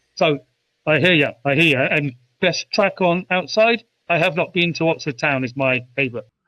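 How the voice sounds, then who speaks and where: Here is a man with a British accent and a bright, sharp tone. His pitch is fairly high, with ordinary variation, at a moderate pace. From United Kingdom. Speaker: artist, writer, musician, poet. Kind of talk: interview answer. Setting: remote call.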